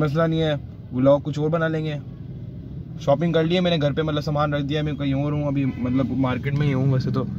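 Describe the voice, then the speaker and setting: A man at fairly high pitch, moderate pace and monotone, flat intonation, over noticeable background noise. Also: dry sound with no echo. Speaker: vlogger. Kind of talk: casual vlog. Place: car. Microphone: phone near.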